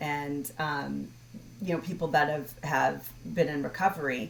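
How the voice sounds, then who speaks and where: This woman has a very deep, low pitch with vocal fry. Her intonation is lively. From Maine. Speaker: assistive technology specialist. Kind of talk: casual chat.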